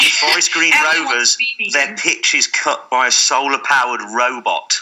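Against noticeable background noise, a man talks at a fairly slow pace with very even loudness. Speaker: podcast guest.

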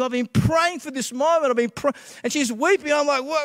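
A man with an extremely high pitch and an Australian accent, in a dry, close sound with no echo. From Western Australia (Perth), born in Scotland. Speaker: pastor. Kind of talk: testimony. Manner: hesitant, many filler uhs.

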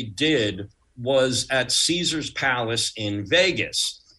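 Speaking very slowly with an American accent, a man uses lively intonation and a bright, sharp tone. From Long Island, New York (Uniondale, Nassau County). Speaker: pyrotechnics designer. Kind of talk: interview storytelling.

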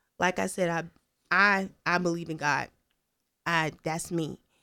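A woman talks at a fairly slow pace with fairly even intonation. The recording is very clean, the background silent. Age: 20s. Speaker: recent college graduate. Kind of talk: casual chat.

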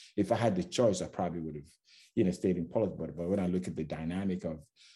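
Vocal fry runs through a man's very deep, low voice, which has a dark, mellow tone and lively intonation. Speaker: security executive. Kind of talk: podcast interview.

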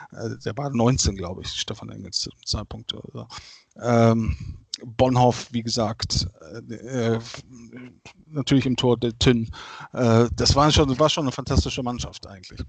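With long, frequent pauses and big swings in loudness, a man talks at a medium pitch with ordinary pitch variation. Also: moderate pace. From Germany, Bergisch Gladbach near Cologne. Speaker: football fan. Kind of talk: casual chat.

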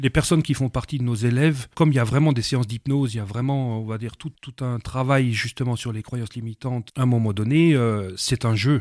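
A man speaks at a fairly quick pace with a dark, mellow tone and a medium pitch. The sound is dry and close with no echo, and the recording is very clean with a silent background. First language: not French (speaking French). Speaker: language school director and hypnotherapist. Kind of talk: radio interview.

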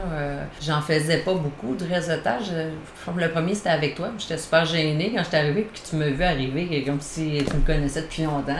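A woman's fairly low voice at a fairly slow pace, with ordinary pitch variation, audible room echo and noticeable background noise. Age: 40s. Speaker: naturotherapist and caregiver support worker. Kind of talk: interview.

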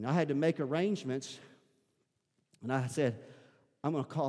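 A fairly quick man's voice with a Southern US accent and a dark, mellow tone. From US South. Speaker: pastor. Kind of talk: sermon. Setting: church.

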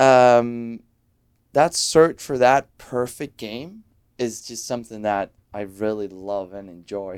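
A very slow, medium-pitched man with a Danish accent, ordinary pitch variation and big swings in loudness, on a very clean recording with a silent background. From Denmark. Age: 30s. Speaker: professional soccer goalkeeper. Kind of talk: interview.

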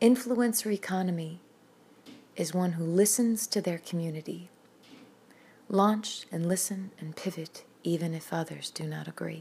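A woman speaks at a moderate pace with long, frequent pauses. Her fairly low voice has a dark, mellow tone, is somewhat breathy and shows ordinary pitch variation. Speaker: poet and singer-songwriter. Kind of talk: poet spoken word, rhymed poem reading. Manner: rhythmic, measured, emphatic.

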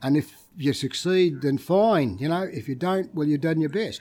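A man with an Australian accent speaks at a fairly quick pace, his fairly high voice showing ordinary pitch variation. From Victoria, Australia (Ocean Grove). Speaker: retired footballer and club figure. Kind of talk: casual storytelling interview. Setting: restaurant.

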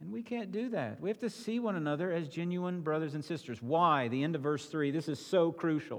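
Using a plain, everyday voice, a man speaks in a fairly high pitch with lively intonation and hardly any pauses. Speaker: pastor. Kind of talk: sermon. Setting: church.

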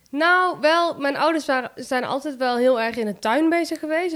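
Ordinary pitch variation runs through the woman's voice. She talks fairly quickly. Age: 20s. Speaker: plant shop owner. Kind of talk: interview. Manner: hesitant, many fillers.

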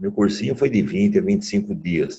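Speaking at a moderate pace, a man has a dark, mellow tone and lively intonation. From Piracicaba, São Paulo state, Brazil. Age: 70s. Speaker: retired agronomy professor. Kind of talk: interview.

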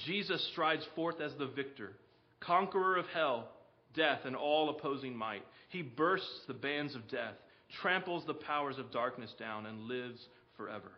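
In an unremarkable speaking voice, the man talks with a fairly high pitch at a moderate speed. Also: lively intonation. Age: 40s. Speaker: preacher. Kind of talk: sermon. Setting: church.

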